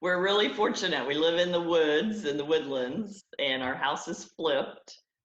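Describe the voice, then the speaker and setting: In a Southern accent, the speaker talks at a fairly slow pace with ordinary pitch variation. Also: woman. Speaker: network marketing entrepreneur. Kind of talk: podcast interview. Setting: video call from home conference room.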